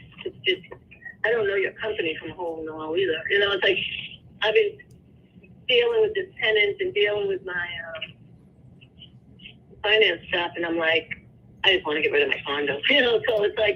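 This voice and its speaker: A woman talks at a fairly quick pace. Her speech has long, frequent pauses. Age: 60s. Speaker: home seller. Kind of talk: phone negotiation. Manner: hesitant, halting.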